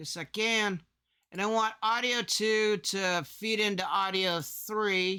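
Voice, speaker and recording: A raised, projected voice with a bright, sharp tone comes at a very slow pace on a very clean recording with a silent background. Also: man. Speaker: content creator. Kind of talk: tutorial. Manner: loud; animated.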